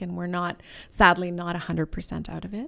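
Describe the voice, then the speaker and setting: On a very clean recording with a silent background, a woman at medium pitch has a normal speaking voice. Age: 50s. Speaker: charity fundraising director. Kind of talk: interview. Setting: office.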